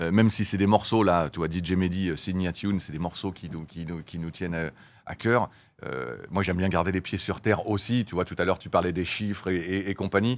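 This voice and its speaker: A man with a very deep, low pitch talks at a fairly quick pace, using ordinary pitch variation. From France. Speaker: music label boss and former band manager; interview guest. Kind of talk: interview. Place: studio. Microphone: studio mic.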